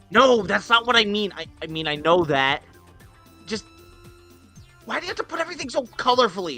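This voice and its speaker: A strained, put-on character voice with a fairly high pitch swings very widely in pitch. It moves at a fairly quick pace with long, frequent pauses over music in the background. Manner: shouty, irritated.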